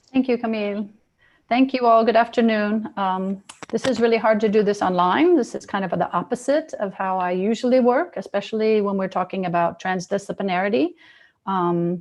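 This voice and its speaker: A woman speaks at a fairly quick pace in a medium pitch with ordinary pitch variation. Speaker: university lecturer and researcher. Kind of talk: webinar lecture. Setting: online video call. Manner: fast.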